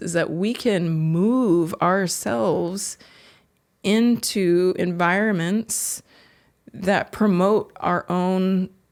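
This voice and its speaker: At a very slow pace, a woman with a medium pitch and ordinary pitch variation speaks in a very clean recording with a silent background. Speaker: psychiatrist. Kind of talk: interview answer.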